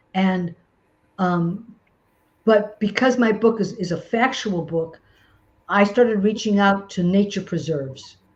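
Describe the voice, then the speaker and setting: A woman with an American accent, somewhat breathy and medium-pitched, fairly slow with long, frequent pauses and ordinary pitch variation. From St. Louis, US Midwest. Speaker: self-published children's author. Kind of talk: webinar Q&A. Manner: halting, many fillers.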